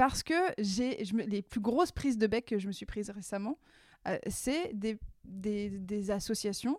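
Recorded very cleanly against a silent background, with a dry, close sound and no echo, a woman speaks fairly slowly in a fairly high voice with a dark, mellow tone and ordinary pitch variation. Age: 30s. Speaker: illustrator and comics author. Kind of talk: casual interview. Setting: at home, in her living room.

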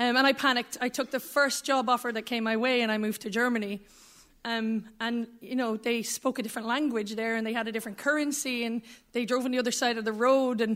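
Very clean recording, silent background. A high-pitched woman with an Irish accent talks very fast in a monotone, flat delivery. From rural Ireland. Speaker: storyteller. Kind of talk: live storytelling. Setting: stage with audience.

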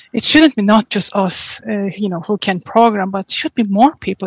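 A somewhat breathy voice with a Turkish accent and ordinary pitch variation, hardly any pauses, in a dry, close sound with no echo. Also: woman. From Turkey. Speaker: tech company co-founder. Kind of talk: interview.

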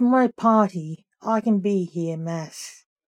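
A female-sounding, put-on character voice at a middle pitch speaks at a fairly slow pace.

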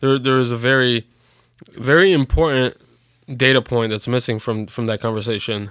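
In an American accent, a man talks at a moderate pace with ordinary pitch variation. It is a plain, everyday voice. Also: medium pitch for a man. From Chicago. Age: 30s. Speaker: podcast co-host. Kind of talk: casual chat.

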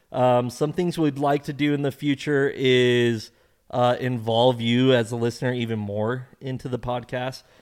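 On a very clean recording with a silent background, a man with an unremarkable speaking voice talks at medium pitch and a moderate pace, his intonation fairly even. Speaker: podcast host; former marketing executive. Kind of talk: casual chat.

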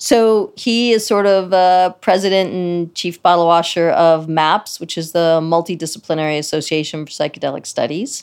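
A woman speaks in a normal speaking voice with a fairly low pitch and ordinary pitch variation. She keeps a moderate pace on a very clean recording with a silent background. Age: 50s. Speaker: psychiatrist. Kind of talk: interview.

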